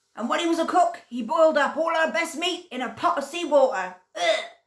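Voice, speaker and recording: In a put-on character voice, a woman talks at a fairly quick pace with an extremely high pitch. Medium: read story. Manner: forceful, blunt.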